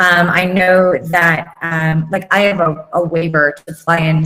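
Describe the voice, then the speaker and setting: In an American accent, a woman speaks at a fairly slow pace. Her pitch is fairly low, and her intonation is monotone and flat. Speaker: corporate pilot. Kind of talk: interview on live online show. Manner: hesitant, many fillers.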